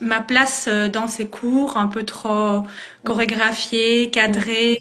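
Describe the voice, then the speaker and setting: Over noticeable background noise, a woman speaks very slowly with fairly even intonation and a fairly high pitch. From Belgium, Liège region. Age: 30s. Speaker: dance teacher. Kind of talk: interview. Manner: hesitant, many fillers.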